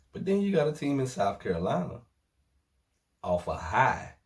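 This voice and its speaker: A man's somewhat breathy, medium-pitched voice with very wide pitch swings, on a very clean recording with a silent background. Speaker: sports vlogger. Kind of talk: casual sports commentary vlog. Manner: animated.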